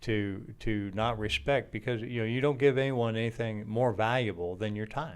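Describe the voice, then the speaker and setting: Pitch varies in an ordinary way at a moderate pace. There are hardly any pauses. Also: man, medium pitch for a man. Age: 60s. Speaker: podcast host, fathering ministry founder. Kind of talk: casual chat. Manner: halting.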